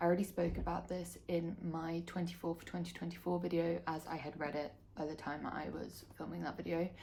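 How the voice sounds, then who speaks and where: With an English accent, a woman speaks at a fairly quick pace in a fairly low pitch and a monotone, flat intonation. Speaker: book vlogger. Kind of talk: casual monologue to camera. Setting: home, filming to camera. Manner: speaking quietly.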